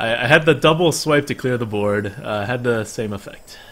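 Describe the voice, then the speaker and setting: Music plays in the background as a man speaks at a moderate pace and medium pitch. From New Jersey (born in Beijing, moved at about five). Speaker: video game streamer. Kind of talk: casual live-stream chat while playing.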